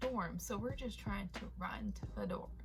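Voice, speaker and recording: The room echo is audible here. A woman does the talking. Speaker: storytime youtuber. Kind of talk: storytime vlog. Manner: casual, animated.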